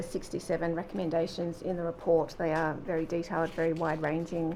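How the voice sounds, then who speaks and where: A woman with an Australian accent speaks at a fairly quick pace, her fairly low voice dark and mellow in tone. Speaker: government official. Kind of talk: sworn testimony. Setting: public hearing. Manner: formal; quiet.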